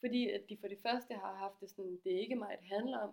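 Speaking at a moderate pace, a woman with a medium-pitched, plain, everyday voice keeps her intonation fairly even. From Denmark, Aarhus. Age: 20s. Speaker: graphic designer, feminist project founder. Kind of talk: casual interview.

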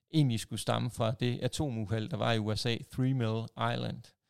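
On a very clean recording with a silent background, a man's dry, close voice with no echo. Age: 40s. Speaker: podcast host, wrestling fan. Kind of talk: casual chat. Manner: hesitant, many fillers.

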